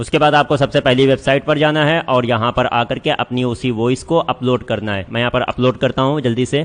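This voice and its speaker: This man's medium-pitched voice moves at a moderate pace with fairly even intonation and hardly any pauses. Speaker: online course instructor. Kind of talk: tutorial.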